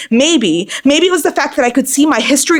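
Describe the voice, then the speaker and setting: A woman's very fast, lively speech in an American accent, over noticeable background noise. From Boston, US. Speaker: poet. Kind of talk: spoken word poetry performance.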